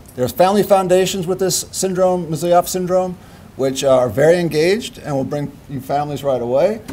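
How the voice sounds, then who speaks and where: A man's high voice at a fairly quick pace, with ordinary pitch variation and audible room echo. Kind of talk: lecture. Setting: stage with audience.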